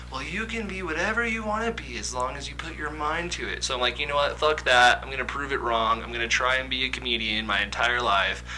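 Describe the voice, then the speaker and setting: A man with an American accent at a very fast pace with hardly any pauses, over noticeable background noise. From Kansas. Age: 20s. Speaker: aspiring comedian. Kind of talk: casual chat.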